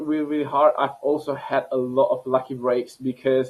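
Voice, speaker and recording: With a non-native accent, a man speaks at a moderate pace in a fairly high pitch and monotone, flat intonation. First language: not English. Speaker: scientist and entrepreneur. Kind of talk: interview. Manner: halting, many repetitions.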